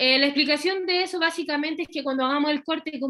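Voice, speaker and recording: Speaking at a fairly quick pace, a woman has a high pitch and a bright, sharp tone. Her intonation stays fairly even. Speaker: veterinary surgery lecturer. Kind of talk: lecture. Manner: fast.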